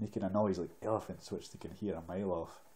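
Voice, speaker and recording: A soft-spoken man with a Scottish accent talks at a fairly quick pace. His fairly low voice is somewhat breathy, with a dark, mellow tone. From Scotland. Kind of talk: ASMR book reading.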